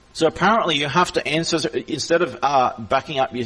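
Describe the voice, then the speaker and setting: A man speaks in an Australian accent. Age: 40s. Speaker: server owner. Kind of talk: heated argument. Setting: voice chat. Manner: repetitive.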